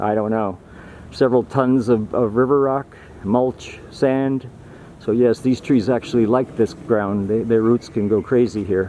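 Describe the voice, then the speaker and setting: Man at medium pitch, fairly slow, with fairly even intonation and noticeable background noise. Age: 60s. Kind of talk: casual vlog walkthrough.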